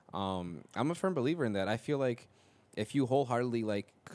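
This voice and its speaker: This man has an unremarkable speaking voice with an American accent, ordinary pitch variation and a moderate pace. The recording is very clean, with a silent background. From Minnesota. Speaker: music producer. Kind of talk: casual chat.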